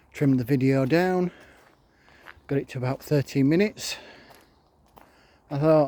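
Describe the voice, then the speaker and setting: The voice has a dark, mellow tone and a Yorkshire accent. It moves at a moderate pace with ordinary pitch variation and long, frequent pauses. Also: man, fairly high pitch for a man. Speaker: vlogger. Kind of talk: casual vlog rant. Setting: outdoors in a park.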